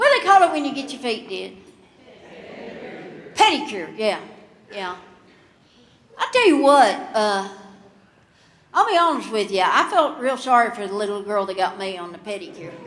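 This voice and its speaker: A woman with a Kentucky accent speaks at a moderate pace and fairly high pitch, with very wide pitch swings and big swings in loudness. Long, frequent pauses break up her speech, and there is audible room echo. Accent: Southern US (Kentucky). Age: 60s. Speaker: comedian. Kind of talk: stand-up. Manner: halting, with fillers.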